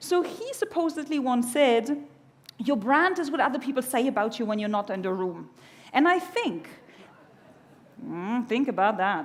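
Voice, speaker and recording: With a German accent, a woman speaks at a high pitch and moderate pace, with very wide pitch swings, long, frequent pauses and audible room echo. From Germany. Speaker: keynote speaker. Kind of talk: conference keynote. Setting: stage with audience. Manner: animated.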